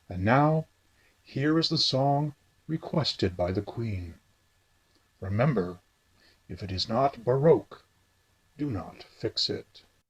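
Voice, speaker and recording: A man performs a put-on character voice at a fairly slow pace. Long, frequent pauses break up his lines. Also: medium pitch for a man. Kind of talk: comic radio DJ sketch.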